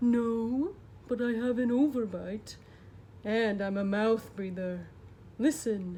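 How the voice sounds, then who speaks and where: A put-on character voice at a fairly slow pace, with long, frequent pauses over clear background noise. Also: female-sounding voice, fairly high pitch for a woman. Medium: read story. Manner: polite, mild.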